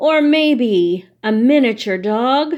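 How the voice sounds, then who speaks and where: This is a woman using a put-on character voice. Her pitch is high. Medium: read story. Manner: cooing, coaxing.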